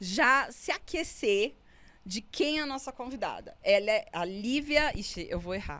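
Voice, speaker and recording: A woman speaks with very wide swings in pitch. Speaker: podcast co-host. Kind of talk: casual podcast chat.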